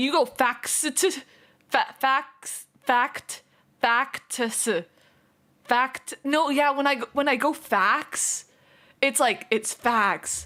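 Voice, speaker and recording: A raised, projected voice with a bright, sharp tone, ordinary pitch variation, a very slow pace and long, frequent pauses. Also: woman, high pitch for a woman. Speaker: streamer. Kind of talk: casual live stream chat. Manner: slurred, poorly enunciated.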